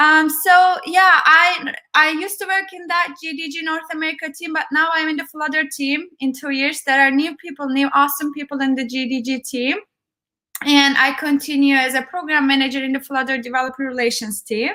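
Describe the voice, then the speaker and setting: A woman with a Turkish accent uses a raised, projected voice at a high pitch with a bright, sharp tone. She talks at a fairly quick pace with ordinary pitch variation. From Turkey. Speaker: tech program manager and conference speaker. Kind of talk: conference talk.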